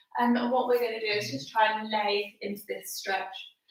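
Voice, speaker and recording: A woman talks at a moderate pace amid audible room echo. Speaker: fitness instructor. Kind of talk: workout instruction. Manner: casual, chatty.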